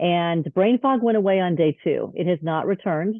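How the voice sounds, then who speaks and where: This is a normal speaking voice from a woman, fairly low in pitch. She speaks at a moderate pace with ordinary pitch variation. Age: 50s. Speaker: wellness product user sharing results. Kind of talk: testimony.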